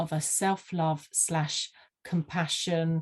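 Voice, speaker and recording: A woman speaks with a slight Sussex accent, her pitch fairly low. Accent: slight Sussex twang. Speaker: vision board mentor. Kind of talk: interview. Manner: halting, many fillers.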